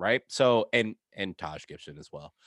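A man with an American accent speaks at a moderate pace and medium pitch. The very clean recording has a silent background and a dry, close sound with no echo. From New York. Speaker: sports podcast co-host. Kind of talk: casual chat. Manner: animated.

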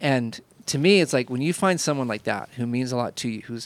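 This is a normal speaking voice with an American accent and ordinary pitch variation. The pace is fairly quick. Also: man. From Indiana, US Midwest. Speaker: podcast host, photographer. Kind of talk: casual chat.

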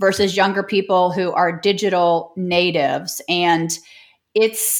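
A woman's medium-pitched voice with a Midwestern American accent on a very clean recording with a silent background. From US Midwest, St. Louis. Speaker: online business coach. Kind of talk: interview.

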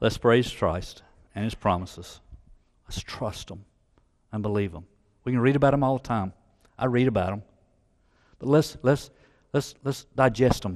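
A man with a Southern US accent at a moderate pace and medium pitch, with ordinary pitch variation, big swings in loudness and long, frequent pauses against a quiet background. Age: 60s. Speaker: church elder preaching. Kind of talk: sermon. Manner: halting, repeats words.

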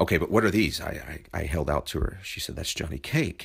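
The speech runs at a very fast pace with vocal fry, on a very clean recording with a silent background. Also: man. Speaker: podcast host. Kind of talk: scripted narration. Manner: wordy, self-deprecating.

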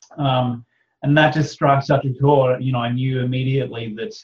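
In an Australian accent, a man talks with a somewhat breathy voice and fairly even intonation. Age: 30s. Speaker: author and podcaster. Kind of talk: casual interview chat.

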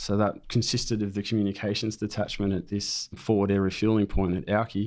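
Over a silent background in a very clean recording, a man with an Australian accent speaks at a fairly quick pace with fairly low pitch and monotone, flat intonation. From New South Wales, Australia (Raymond Terrace). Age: 30s. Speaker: war veteran. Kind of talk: interview storytelling. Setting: studio.

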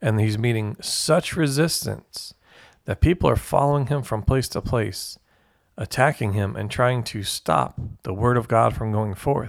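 Against a very clean recording with a silent background, a man speaks at a fairly slow pace in an unremarkable speaking voice of medium pitch with ordinary pitch variation. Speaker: Bible study leader. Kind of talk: group Bible study teaching.

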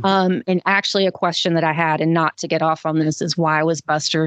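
A woman with a Southern US accent speaks at a fairly low pitch in a dry, close sound with no echo against a quiet background. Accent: Southern US, mild. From Georgia, US South. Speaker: co-host. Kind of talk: casual chat.

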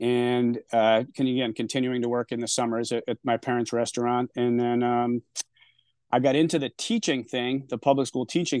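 A man with an American accent, at a moderate pace. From Rhode Island, US. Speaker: restaurant owner. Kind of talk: casual interview.

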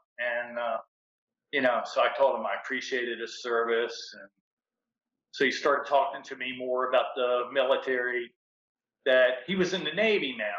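Pausing long and often, a man speaks at a moderate pace with big swings in loudness. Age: 60s. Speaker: fitness group member sharing life stories. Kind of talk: casual interview.

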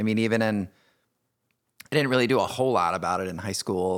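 On a very clean recording with a silent background, a man with an American accent uses a plain, everyday voice at a fairly low pitch, with fairly even intonation. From Indiana, US Midwest. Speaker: podcast host, author and speaker. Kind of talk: personal storytelling interview.

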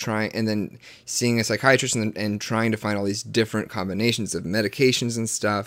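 A man with an American accent speaks at a fairly low pitch with fairly even intonation. The recording is very clean, with a silent background. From US South. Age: 20s. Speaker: podcast host. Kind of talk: casual chat. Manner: halting, many restarts.

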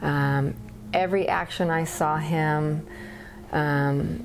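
Audible room echo hangs around this voice. It belongs to a woman with a very deep, low pitch. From Paradise, Northern California. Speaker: elementary school teacher. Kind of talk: testimony.

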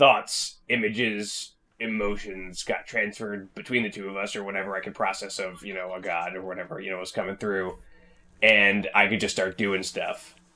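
A man puts on a raspy character voice at a fairly low pitch. The intonation is monotone and flat, while the loudness swings widely. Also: moderate pace. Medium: actual play. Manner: rambling, earnest.

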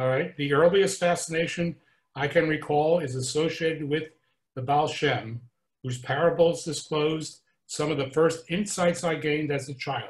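In an ordinary speaking voice, a man talks at a moderate pace with fairly even intonation and a fairly high pitch. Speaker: class participant. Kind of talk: reading aloud.

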